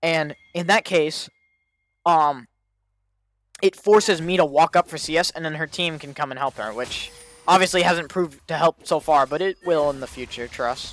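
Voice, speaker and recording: On a very clean recording with a silent background, a man with a fairly high pitch and ordinary pitch variation speaks in a dry, close sound with no echo, his loudness swinging widely. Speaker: gaming streamer reviewing own game. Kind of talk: gameplay VOD review commentary. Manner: fast; casual, self-correcting.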